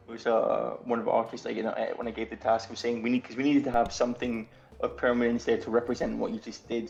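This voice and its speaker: Noticeable background noise sits behind very fast speech. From Scotland. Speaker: game artist and co-writer. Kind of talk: casual chat. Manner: halting, many fillers.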